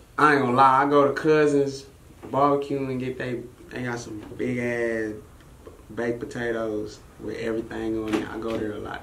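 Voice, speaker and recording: Over light background noise and audible room echo, a man speaks at a moderate pace in a medium pitch with fairly even intonation. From Arlington, Texas (born in Brooklyn); Texas. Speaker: rapper; interview guest. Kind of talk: casual interview. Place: studio.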